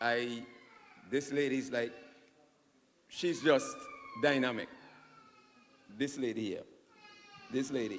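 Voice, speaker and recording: A man speaks at a medium pitch and fairly slow pace, with fairly even intonation and long, frequent pauses. Noticeable background noise and audible room echo fill the recording. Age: 50s. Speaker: audience member at town hall. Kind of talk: public Q&A comment. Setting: town hall meeting.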